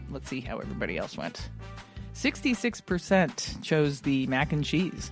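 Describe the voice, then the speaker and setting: The talking proceeds at a moderate speed. Behind it, music can be heard. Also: woman. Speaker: podcast co-host. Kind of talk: casual podcast conversation.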